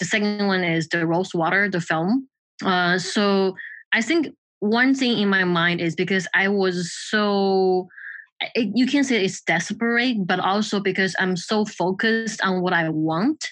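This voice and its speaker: A woman with a Mandarin accent speaks at a fairly slow pace with a medium pitch, ordinary pitch variation and very even loudness against a quiet background. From China, Shanghai. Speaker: film and trailer editor. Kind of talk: casual interview conversation. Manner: halting, with fillers.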